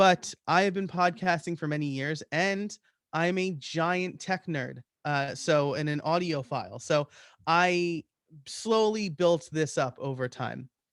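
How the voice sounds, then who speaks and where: A man's high voice with a slight New York accent, at a fairly slow pace, in a dry, close sound with no echo. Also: ordinary pitch variation, very clean recording, silent background. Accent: slight New York accent on certain words. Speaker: podcaster and web development teacher. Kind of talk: presentation. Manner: hesitant, many fillers.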